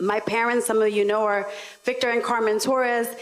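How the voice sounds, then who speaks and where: With an American accent, a woman speaks at a moderate pace in a normal speaking voice that is fairly high-pitched. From New York, the Bronx. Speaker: local elected official, panelist. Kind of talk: panel discussion.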